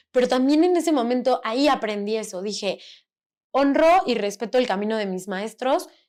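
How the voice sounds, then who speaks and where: The voice is loud and animated, with lively intonation. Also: woman, high pitch for a woman, moderate pace. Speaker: podcast host. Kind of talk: casual chat.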